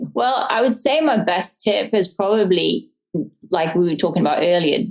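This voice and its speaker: A woman with an English accent speaks at a moderate pace. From English countryside. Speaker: homesteader and business owner. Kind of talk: interview answer.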